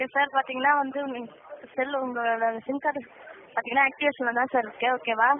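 Recorded dry with no echo over light background noise, a woman talks in a high voice with fairly even intonation. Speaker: customer care agent. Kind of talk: customer service call. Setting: phone line. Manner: polite. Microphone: phone line.

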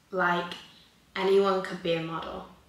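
With noticeable background noise and audible room echo, a woman talks at a medium pitch. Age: young. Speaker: content creator. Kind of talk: casual Q&A vlog.

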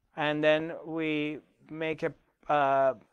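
The background is quiet as a man talks. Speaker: spiritual teacher. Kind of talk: workshop talk to online audience. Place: studio. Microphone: lapel.

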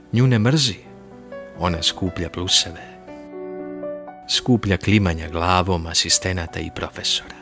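A man's very deep, low voice with ordinary pitch variation, music in the background. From Serbia. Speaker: radio announcer. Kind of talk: prose reading. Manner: calm, composed.

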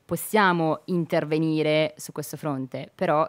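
The woman's pitch is very deep and low, and her intonation stays fairly even. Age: young. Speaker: city councillor. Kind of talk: radio interview. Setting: radio studio. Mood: earnest, engaged on politics. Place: studio. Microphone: studio mic.

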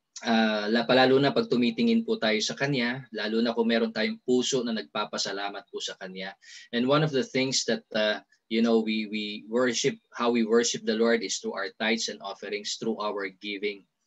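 A man speaks with fairly even intonation at a moderate pace, and the background is quiet. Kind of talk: sermon-like exhortation. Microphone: video call.

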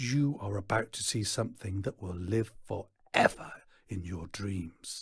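A man puts on a character voice, fairly low in pitch, with a husky, rough edge and vocal fry. He moves at a fairly slow pace with ordinary pitch variation.

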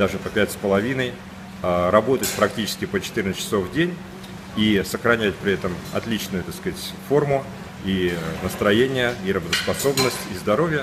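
There is noticeable background noise as a man speaks at a fairly low pitch. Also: moderate pace. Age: 50s. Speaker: businessman. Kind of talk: testimonial. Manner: hesitant, many filler sounds. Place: beach. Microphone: phone near.

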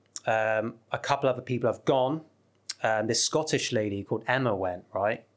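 A man with a West Country accent talks at a moderate pace and medium pitch, with ordinary pitch variation. The background is quiet. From southwest England. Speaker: travel YouTuber. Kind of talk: casual chat. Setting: studio. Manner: animated. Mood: relaxed, animated storytelling. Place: studio. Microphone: studio mic.

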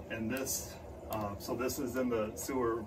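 A man is speaking. Music plays in the background. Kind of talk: tutorial. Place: home room. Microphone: camera far.

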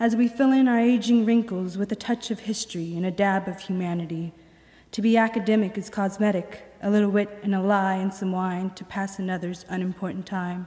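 A woman's fairly quick speech with fairly even intonation against a quiet background. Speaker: poet. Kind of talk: poetry reading performed aloud to an audience. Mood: calm, reflective. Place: hall. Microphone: podium.

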